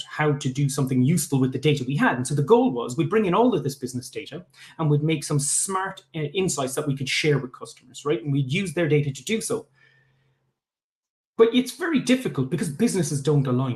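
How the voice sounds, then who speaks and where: A man talks at a very fast pace with lively intonation. His pitch is fairly high. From Ireland, Limerick. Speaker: tech founder. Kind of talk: pitch talk. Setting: live online event. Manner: hesitant, many fillers.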